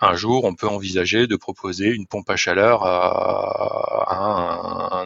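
A man speaks at a very slow pace, with hardly any pauses. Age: 40s. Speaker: sales director. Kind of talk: interview. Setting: remote call. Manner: halting.

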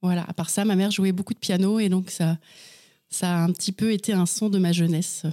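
Recorded very cleanly against a silent background, with a dry, close sound and no echo, a woman of medium pitch speaks at a fairly quick pace in a dark, mellow tone with monotone, flat intonation. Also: very even loudness. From western France (Anjou / Mayenne). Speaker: novelist. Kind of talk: interview.

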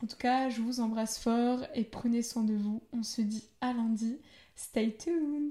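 A woman's fairly high-pitched voice with a dark, mellow tone, fairly even intonation and a very slow pace. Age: 20s. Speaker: podcast host. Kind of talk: solo podcast introduction.

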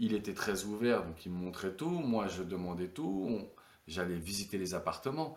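Lively intonation marks this man's fairly low voice at a moderate pace. He has an unremarkable speaking voice. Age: 30s. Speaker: retired professional footballer. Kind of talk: casual interview.

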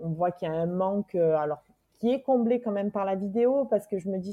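A woman speaks fairly slowly at a medium pitch, with ordinary pitch variation. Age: 40s. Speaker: single mother, expatriate's sister. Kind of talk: interview. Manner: halting.

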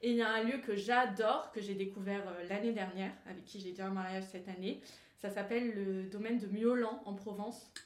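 A woman of medium pitch at a fairly quick pace, with monotone, flat intonation, noticeable background noise, and audible room echo. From Grasse, French Riviera. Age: 20s. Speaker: wedding planner. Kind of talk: casual interview.

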